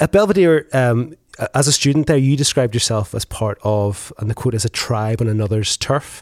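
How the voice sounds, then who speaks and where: With a Northern Irish accent, a man talks at a fairly quick pace and a medium pitch, with ordinary pitch variation and big swings in loudness. The sound is dry and close, with no echo. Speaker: podcast host. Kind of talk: interview. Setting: in-person studio.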